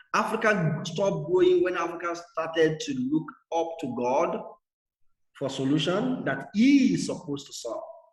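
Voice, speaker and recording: With audible room echo around him, a man speaks at a moderate pace in a high pitch, his voice making very wide pitch swings. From Nigeria. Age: 60s. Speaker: guest speaker. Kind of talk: talk. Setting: video call. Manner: animated.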